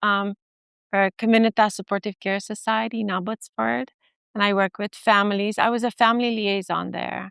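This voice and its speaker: Speaking at a moderate pace, a woman with a medium-pitched voice keeps her intonation fairly even, heard dry and close with no echo over a quiet background. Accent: Romanian. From Romania. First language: Romanian. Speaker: family therapist and professor. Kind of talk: conference talk. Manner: hesitant, many fillers.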